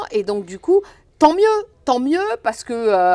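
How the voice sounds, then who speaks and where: Speech at a very slow pace with very wide pitch swings, recorded very cleanly against a silent background. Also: woman. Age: 50s. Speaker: foundation director, former sports teacher. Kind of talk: interview.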